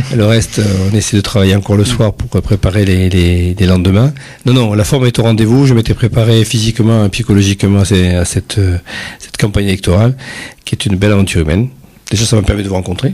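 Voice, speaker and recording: Against noticeable background noise, a man speaks very fast at a fairly low pitch, with ordinary pitch variation. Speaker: parliamentary candidate. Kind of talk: radio interview. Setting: radio studio. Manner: hesitant.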